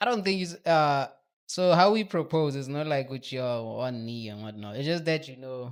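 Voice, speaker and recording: Over a very clean recording with a silent background, a man with a Botswana accent speaks at a moderate pace. His pitch is fairly high, his intonation lively, and his loudness swings widely. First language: Setswana. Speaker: podcast guest. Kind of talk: casual chat. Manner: halting.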